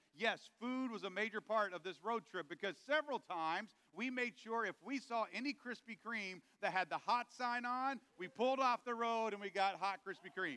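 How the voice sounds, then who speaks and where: In a raised, projected voice, a man with high pitch talks at a moderate pace with ordinary pitch variation, in a dry, close sound with no echo. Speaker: pastor. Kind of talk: sermon.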